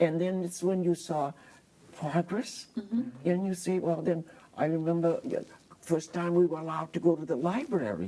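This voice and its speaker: With an American accent, a woman uses a normal speaking voice at a fairly low pitch, moving at a moderate pace with ordinary pitch variation. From Harwich, Massachusetts, USA. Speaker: artist and teacher. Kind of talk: oral history interview answer.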